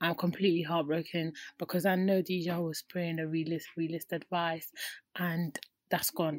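A woman with a fairly low pitch has an unremarkable speaking voice. She talks at a moderate pace in a dry, close sound with no echo. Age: 20s. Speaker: podcast host. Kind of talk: scripted outro; casual interview.

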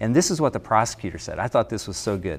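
Lively in intonation, a man speaks at a medium pitch with vocal fry. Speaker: associate pastor. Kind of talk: casual chat.

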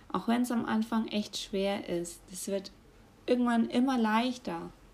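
A woman's somewhat breathy, dark and mellow voice at medium pitch, with a Franconian accent and ordinary pitch variation. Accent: German regional dialect, Franconian. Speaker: podcast host. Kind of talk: casual solo monologue.

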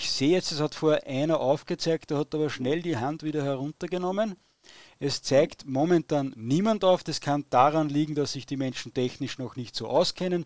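An Austrian accent marks this man's voice. He talks at a moderate pace. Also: fairly high pitch for a man, ordinary pitch variation, dry, close sound with no echo. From Austria, Upper Austria. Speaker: podcast host. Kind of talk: interview. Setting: live stream.

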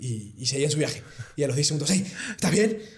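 Talking at a very fast pace, a man has a somewhat breathy, fairly high voice. Room echo is audible. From Argentina, Córdoba. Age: 20s. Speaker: podcast guest sharing travel experience. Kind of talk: casual storytelling interview.

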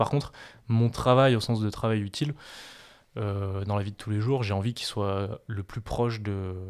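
In a very clean recording with a silent background, a man speaks fairly slowly at a fairly low pitch with fairly even intonation. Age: 20s. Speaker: aspiring gendarme, former student entrepreneur. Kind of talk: interview. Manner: halting, many repetitions and fillers.

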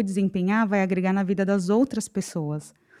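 A woman's dark, mellow, medium-pitched voice at a fairly quick pace, dry and close with no echo on a very clean recording with a silent background. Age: 30s. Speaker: financial consultant. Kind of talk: casual chat.

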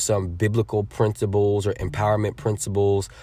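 A man with a fairly low pitch speaks in an animated tone with an American accent. His voice is somewhat breathy, and the recording is very clean, with a silent background. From Connecticut, Norwich / New London area. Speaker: speaker, author and faith-based community leader. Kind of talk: casual interview chat. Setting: in person in Connecticut.

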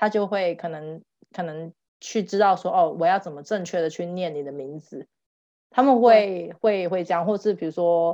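A woman's fairly low, dark, mellow voice at a moderate pace, with ordinary pitch variation and big swings in loudness, over a quiet background. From Taiwan. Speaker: podcast co-host, mother. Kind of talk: casual chat.

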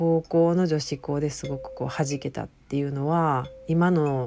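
A woman with a Kansai accent and a very deep, low pitch. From Osaka, Japan. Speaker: podcast host. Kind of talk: solo monologue podcast. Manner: casual, meandering.

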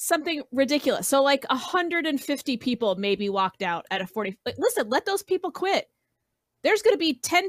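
With an American accent, a woman speaks at a moderate pace and a high pitch, her voice swinging very widely in pitch. The recording is very clean and dry, close with no echo, over a silent background. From Colorado, US. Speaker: political podcast panelist. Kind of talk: casual political chat.

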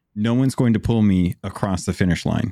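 A man with an American accent, a fairly low pitch and a dark, mellow tone on a very clean recording with a silent background. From US Southwest. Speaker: gamer and online community member. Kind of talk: casual chat.

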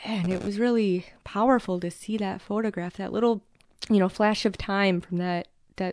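A woman with an American accent has a normal speaking voice at medium pitch, moving at a moderate pace. Her intonation is fairly even, and the background is quiet. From Minnesota, rural. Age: 30s. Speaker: postal employee. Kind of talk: personal interview.

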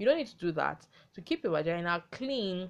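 A woman with a southwestern Nigerian accent speaks at a fairly quick pace. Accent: Nigerian (Yoruba-area) English. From southwest Nigeria. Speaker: podcast host. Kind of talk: solo educational talk. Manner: halting, with many fillers.

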